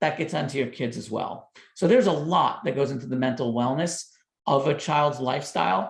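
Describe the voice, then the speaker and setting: With a New York accent, a man speaks at a fairly quick pace in a fairly high, somewhat breathy voice with ordinary pitch variation and audible room echo. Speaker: doctor and parenting author. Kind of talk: podcast interview.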